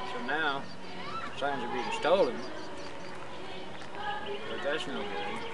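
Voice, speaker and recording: Against loud background noise, a man talks at a fairly slow pace in a dry sound with no echo. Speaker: interviewee. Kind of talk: interview answer. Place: open country. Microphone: handheld.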